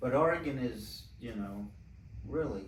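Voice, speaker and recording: A man's voice with vocal fry at a moderate pace, plus audible room echo. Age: 70s. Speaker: winemaker. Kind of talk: casual chat.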